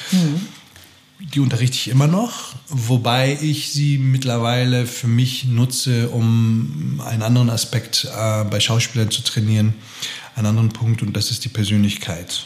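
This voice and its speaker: Over noticeable background noise, a man speaks at a fairly slow pace, with a medium pitch and ordinary pitch variation. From Austria. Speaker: actor and acting teacher. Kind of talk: casual interview.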